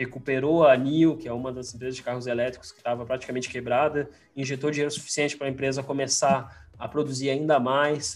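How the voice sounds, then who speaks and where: A medium-pitched man talks at a very fast pace with hardly any pauses, monotone flat intonation and big swings in loudness. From Rio Grande do Sul, Brazil (Farroupilha). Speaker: investment strategist. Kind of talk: casual interview chat. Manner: halting, repeats words.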